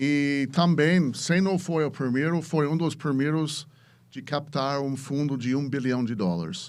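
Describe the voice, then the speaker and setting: With an English accent, this speaker delivers the words. It is a male voice. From US, Chicago. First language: English (speaking Portuguese). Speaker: venture capitalist. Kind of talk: podcast interview. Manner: halting, many repetitions.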